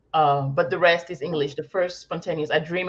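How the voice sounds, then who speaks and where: A woman speaks in a fairly low voice with a French accent. Her intonation stays fairly even. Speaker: academic with a PhD. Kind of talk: casual chat.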